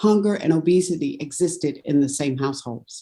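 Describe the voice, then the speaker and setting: In a plain, everyday voice, a woman speaks at a moderate pace with ordinary pitch variation. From US South, North Carolina. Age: 60s. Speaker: food justice researcher. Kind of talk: webinar panel talk.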